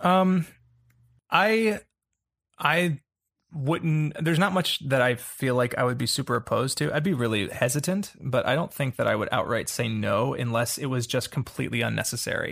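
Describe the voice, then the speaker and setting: A man with an unremarkable speaking voice talks at a moderate pace, his fairly high pitch rising and falling in a lively way on a very clean recording with a silent background. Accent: American. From US South, Atlanta. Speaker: actor. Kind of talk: casual chat.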